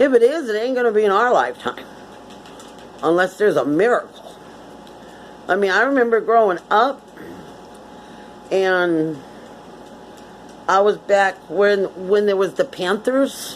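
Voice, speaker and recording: Long, frequent pauses and a fairly slow pace from a woman with an American accent, medium pitch and lively intonation. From Connecticut, US. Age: 60s. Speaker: vlogger. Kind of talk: casual monologue.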